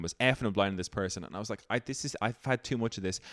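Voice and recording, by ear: A man's fairly low voice at a very fast pace, with a fairly bright tone.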